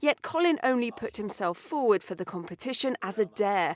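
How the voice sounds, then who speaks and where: Fairly high in pitch, a woman speaks in an ordinary speaking voice. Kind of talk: TV news narration.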